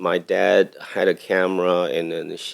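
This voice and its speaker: A man with a Taiwanese accent is heard on a very clean recording with a silent background. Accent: Taiwanese Mandarin-accented English. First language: Mandarin Chinese. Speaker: cinematographer. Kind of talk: podcast interview. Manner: halting.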